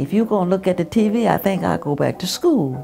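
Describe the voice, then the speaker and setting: Clear music plays in the background behind a voice with an American accent. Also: woman. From Southern United States. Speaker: retired real estate agent and nurse. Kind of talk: oral history interview answer. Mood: warm, amused storytelling. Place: home room.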